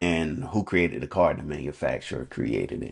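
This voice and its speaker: A man's very deep, low voice with lively intonation and vocal fry. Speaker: coach sharing faith reflections. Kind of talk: unscripted devotional talk. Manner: halting, with ums and repetitions; casual, conversational.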